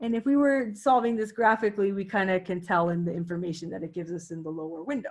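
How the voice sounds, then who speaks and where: Her pitch is medium for a woman, swinging very widely. She sounds somewhat breathy over a quiet background. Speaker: math teacher. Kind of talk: lecture. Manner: halting.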